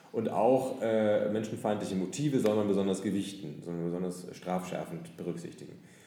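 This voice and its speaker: The speaker moves at a fairly quick pace with ordinary pitch variation, amid noticeable background noise and audible room echo. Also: man, fairly low pitch for a man. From Nuremberg, northern Bavaria. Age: 30s. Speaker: author and lawyer. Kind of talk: interview. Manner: frequent hesitations.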